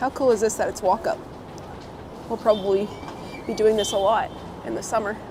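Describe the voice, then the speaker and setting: Noticeable background noise surrounds a woman with a fairly high pitch. She speaks at a fairly quick pace but leaves long, frequent pauses. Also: ordinary pitch variation. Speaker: live streamer. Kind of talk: live stream chat while walking. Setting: outdoors.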